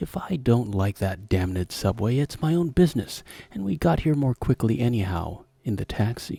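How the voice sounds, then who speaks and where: A man speaks at a moderate pace in a medium, somewhat breathy voice with a dark, mellow tone and very wide pitch swings, recorded dry and close with no echo. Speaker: storyteller. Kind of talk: horror story reading.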